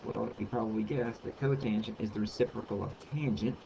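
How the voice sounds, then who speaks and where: This man's voice is somewhat breathy, at a medium pitch. He keeps a moderate pace with ordinary pitch variation. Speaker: math tutor. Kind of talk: tutorial. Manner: hesitant, many ums.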